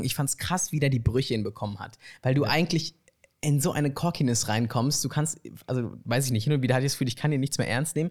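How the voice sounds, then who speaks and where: In a very clean recording with a silent background, a man speaks at a very fast pace in a somewhat breathy, fairly high voice with ordinary pitch variation. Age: 20s. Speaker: student filmmaker and actor. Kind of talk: casual chat. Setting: living room couch.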